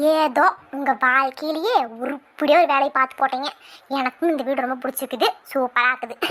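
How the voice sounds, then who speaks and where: A cartoonish character voice that sounds female. It is high-pitched and moves at a moderate pace. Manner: loud, brisk and scolding.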